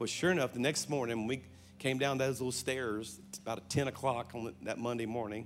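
With music in the background and audible room echo, a man speaks in a Louisiana accent at a fairly quick pace, using medium pitch and ordinary pitch variation. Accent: Southern US (Louisiana). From South Louisiana. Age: 50s. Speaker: pastor. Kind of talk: sermon. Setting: church stage with audience. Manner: animated.

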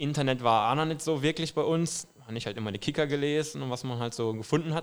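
Speaking very fast with a Saarland accent, a man uses ordinary pitch variation. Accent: speaks some Saarland dialect. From western Ruhr area, Germany (Duisburg suburb). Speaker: football fan. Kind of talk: casual chat.

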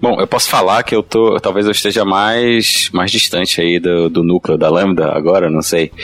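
Over noticeable background noise, a man with a Pará accent talks at a moderate pace in a very deep, low pitch, with fairly even intonation, very even loudness, and hardly any pauses. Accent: Northern Brazilian (Pará). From Belém, Pará, Brazil. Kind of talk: casual panel discussion.

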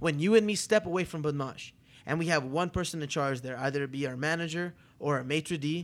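On a very clean recording with a silent background, a man with a fairly high pitch sounds animated, talking at a fairly quick pace with ordinary pitch variation. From Toronto, Canada. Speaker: restaurateur, podcast co-host. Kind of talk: casual chat. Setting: hotel room, live recording.

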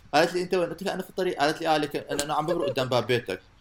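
A very fast-talking man with a fairly high pitch. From Iraq. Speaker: podcast co-host. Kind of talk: casual chat.

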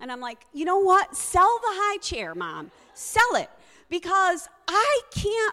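Extremely high in pitch, a woman's raised, projected voice swings very widely. She speaks at a fairly slow pace. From US Northeast, Connecticut. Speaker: storyteller. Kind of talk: live storytelling. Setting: stage with audience.

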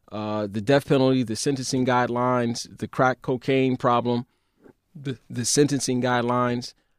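A man speaks with a New York accent at a moderate pace. His pitch is medium, and the sound is dry and close with no echo. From Brooklyn, New York. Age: 40s. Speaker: lawyer. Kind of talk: casual interview.

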